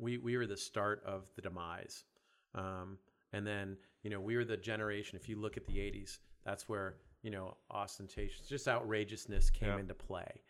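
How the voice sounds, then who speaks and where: A man talks at a moderate pace in a fairly low pitch with fairly even intonation. He has a normal speaking voice. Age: 50s. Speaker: fitness business founder. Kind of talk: casual chat.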